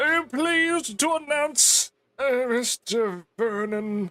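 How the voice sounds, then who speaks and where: Talking fairly slowly, the man puts on a character voice. It is pitched extremely high. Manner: grand, formal, announcing.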